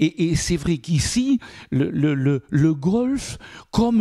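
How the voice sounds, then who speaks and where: With a dark, mellow tone and lively intonation, a man speaks at a very slow pace in a dry, close sound with no echo. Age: 60s. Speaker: mayor. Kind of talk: interview. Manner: halting, many repetitions.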